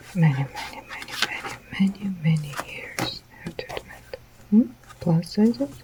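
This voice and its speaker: At a moderate pace, a soft-spoken voice comes through noticeable background noise. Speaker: artist, sews. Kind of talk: casual unboxing and drawing talk.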